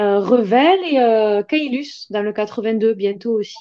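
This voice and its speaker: A woman talks with a southern French accent in a dark, mellow tone. Her pace is fairly slow and her intonation lively. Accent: Albi southern French. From southern France, Albi. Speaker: artisan creator. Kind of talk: live video chat. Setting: livestream.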